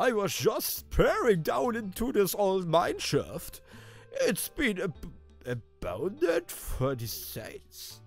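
Over faint music in the background, a man puts on a high-pitched character voice at a very slow pace. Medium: game stream. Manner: gruff, ominous.

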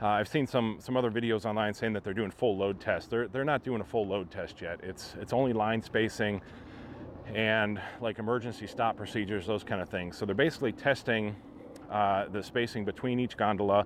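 A man speaks in an ordinary speaking voice at a fairly quick pace, his pitch fairly low and his intonation fairly even, with a dry sound with no echo and light background noise. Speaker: theme park vlogger. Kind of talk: casual vlog commentary. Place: street. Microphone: phone near.

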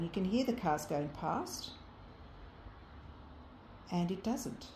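A woman with a somewhat breathy voice and a dark, mellow tone is heard with audible room echo and light background noise. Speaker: ghost tour guide. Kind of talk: guided tour narration. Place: kitchen. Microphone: phone near.

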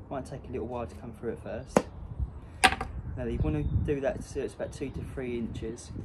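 A man keeps a moderate pace while noticeable background noise carries on. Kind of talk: tutorial. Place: street. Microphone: camera far.

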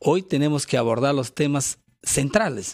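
A man's fairly high-pitched voice at a very slow pace over a quiet background. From Peru. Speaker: congressman and party spokesman; party spokesman. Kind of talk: radio interview. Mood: firm, earnest political argument. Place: studio. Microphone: studio mic.

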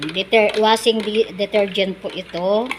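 A woman's fairly high voice at a very slow pace. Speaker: vlogger. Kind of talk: tutorial. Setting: outdoors. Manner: halting.

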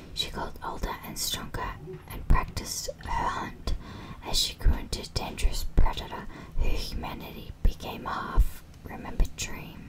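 At a moderate pace, a woman speaks in a whisper. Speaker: ASMR creator. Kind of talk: ASMR whispered story reading. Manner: whispered. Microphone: studio mic.

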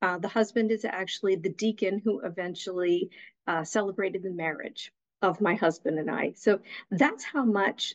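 The speaker moves at a fairly slow pace with ordinary pitch variation over a quiet background. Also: woman. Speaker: guest. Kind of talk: interview answer. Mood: warm, reflective. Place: home room. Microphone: video call.

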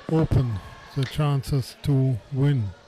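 Noticeable background noise runs under the recording. A man speaks very slowly at a fairly high pitch. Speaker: co-commentator. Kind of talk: live commentary.

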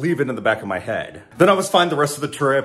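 It's a man's voice. The pace is very fast. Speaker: flight attendant vlogger. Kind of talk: casual vlog chat. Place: kitchen. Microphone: phone near.

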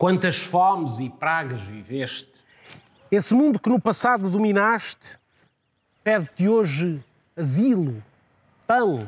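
Using a high pitch and very wide pitch swings, a man speaks in a solemn tone. His pace is very slow, with long, frequent pauses. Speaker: narrator. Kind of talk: poetic theatrical monologue. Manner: solemn, declamatory, addressing Europe as a person in rhetorical questions.

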